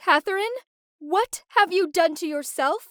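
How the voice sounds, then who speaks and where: Using a squeaky, put-on character voice, a woman speaks at an extremely high pitch and a moderate pace. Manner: horrified, alarmed.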